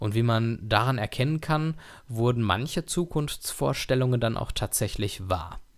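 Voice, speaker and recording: On a very clean recording with a silent background, a man with medium pitch and lively intonation has an ordinary speaking voice. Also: fairly slow pace. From Germany, Dortmund (Ruhr area). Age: 30s. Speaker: podcast host. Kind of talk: solo podcast monologue.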